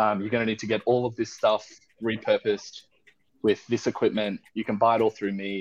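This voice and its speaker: A man with an Australian accent speaks at a fairly quick pace in a monotone, flat intonation. The sound is dry and close, with no echo. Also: fairly low pitch for a man. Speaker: spirits distillery founder. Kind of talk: casual chat.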